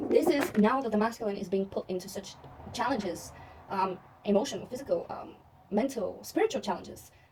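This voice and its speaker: Amid noticeable background noise, a woman with a non-native accent and a fairly high pitch speaks fairly quickly in an animated tone with ordinary pitch variation. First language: not English. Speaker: tarot reader. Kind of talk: tarot reading monologue.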